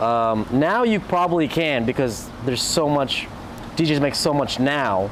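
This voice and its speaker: A man with an American accent speaks at a fairly slow pace and very even loudness. Audible room echo and noticeable background noise fill the recording. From US West Coast, Orange County, California. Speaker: DJ. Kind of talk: interview. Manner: quiet by nature; halting, many restarts.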